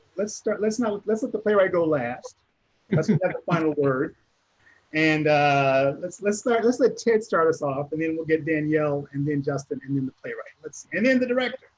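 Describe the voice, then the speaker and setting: The delivery comes at a moderate pace with lively intonation. It is an ordinary speaking voice. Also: man, fairly high pitch for a man. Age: 60s. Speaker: Q&A moderator. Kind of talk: panel Q&A discussion.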